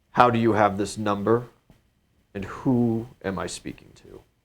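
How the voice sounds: A gruff, put-on character voice from a man at a medium pitch, with monotone, flat intonation, big swings in loudness and a moderate pace.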